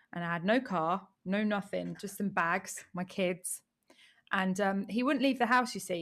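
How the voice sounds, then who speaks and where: A woman with an English accent speaks at a fairly slow pace and medium pitch, with ordinary pitch variation, on a very clean recording with a silent background. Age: 30s. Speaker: online business coach. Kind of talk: interview. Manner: animated.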